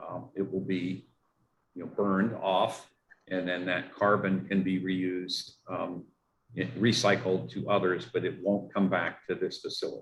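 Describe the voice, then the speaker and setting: This man speaks with a Pittsburgh accent. His pitch is very deep and low. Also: fairly even intonation, fairly slow pace. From Pittsburgh, US. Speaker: water utility engineer. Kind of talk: community meeting Q&A. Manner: halting, many fillers.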